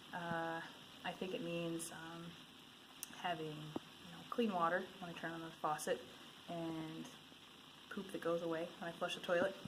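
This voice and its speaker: A woman with an Upper Midwest accent, fairly low-pitched and monotone, at a moderate pace with long, frequent pauses, big swings in loudness and audible room echo. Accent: Upper Midwest American. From Michigan. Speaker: interviewee. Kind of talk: street interview. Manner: halting with many fillers.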